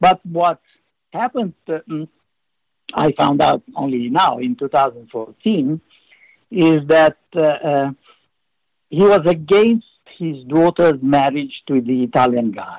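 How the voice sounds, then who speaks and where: A fairly high-pitched man with a Romanian accent speaks very slowly, with long, frequent pauses and lively intonation. The sound is dry and close, with no echo. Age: 70s. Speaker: former spy and author. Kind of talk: interview. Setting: video call. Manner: halting.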